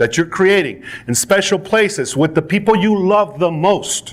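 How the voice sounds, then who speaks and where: The man's pitch is high, with ordinary pitch variation. His tone is animated. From Panama. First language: Spanish. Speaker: network marketing speaker. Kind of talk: motivational speech. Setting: stage with audience.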